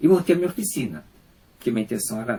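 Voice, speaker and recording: Dark, mellow tone in a somewhat breathy male voice. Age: 60s. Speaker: unemployed factory worker with cancer. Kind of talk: personal testimony. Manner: halting.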